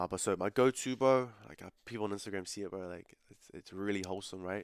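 A man with a New Zealand accent talks at a very fast pace in a fairly low voice. His intonation stays fairly even, and the sound is dry and close with no echo. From New Zealand, South Auckland. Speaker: calisthenics athlete and online coach. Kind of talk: casual interview.

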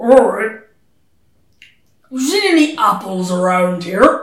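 In a put-on character voice, gruff and rumbling at a fairly high pitch, the words come at a fairly slow pace with a slight echo. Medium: actual play. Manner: gruff, grumbling, distracted.

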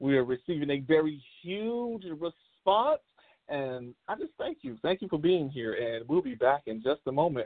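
This man has a fairly high pitch and lively intonation. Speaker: radio host. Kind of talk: casual chat. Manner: animated.

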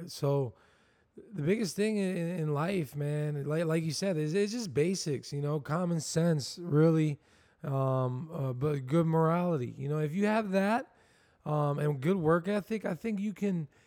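The recording is very clean, with a silent background. It has an unremarkable speaking voice with an American accent and ordinary pitch variation. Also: man, fairly high pitch for a man. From Southwest Florida. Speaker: barber and shop owner. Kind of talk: casual chat.

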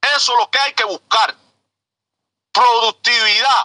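A raised, projected voice with a bright, sharp tone moves at a fairly slow pace in a dry, close sound with no echo. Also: man. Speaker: truck driver. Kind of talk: impassioned call-in. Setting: in a truck.

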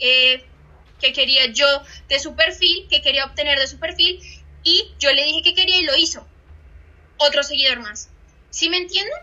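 A woman's bright, sharp, raised and projected voice with big swings in loudness, ordinary pitch variation, a moderate pace and long, frequent pauses. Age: 20s. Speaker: social media trainer. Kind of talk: online training session. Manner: animated.

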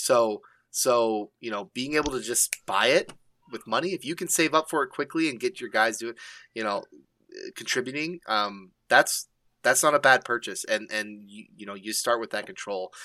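A man speaks at a medium pitch and a moderate pace, with ordinary pitch variation and a bright, sharp tone, his loudness swinging widely. The sound is dry and close with no echo, on a very clean recording with a silent background. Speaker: gaming podcast co-host. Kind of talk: casual chat.

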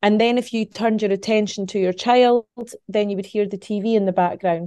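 In a Scottish accent, a woman speaks with a medium-pitched voice, a dark, mellow tone and fairly even intonation. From Scotland. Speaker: psychic medium. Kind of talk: interview conversation.

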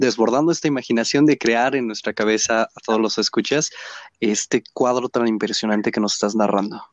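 A man's voice, with ordinary pitch variation, stands against a quiet background. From Mexico, Hidalgo. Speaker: podcast host. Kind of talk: interview conversation. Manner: halting.

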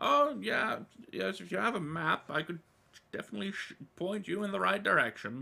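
A man's put-on character voice, high-pitched, with very wide pitch swings and long, frequent pauses. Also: moderate pace. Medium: actual play. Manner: warm, gently fussy, hesitant with little 'oh' and 'well' fillers.

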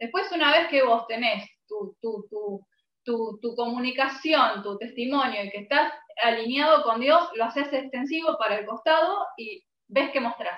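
Speaking fairly slowly in a high pitch, a woman with an Argentine accent uses lively intonation and big swings in loudness. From Argentina. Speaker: music podcaster. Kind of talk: casual chat.

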